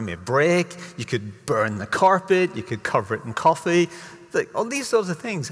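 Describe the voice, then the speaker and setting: Very wide pitch swings from a man speaking at a moderate pace. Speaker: conference speaker. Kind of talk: lecture. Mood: humorous, lively. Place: stage.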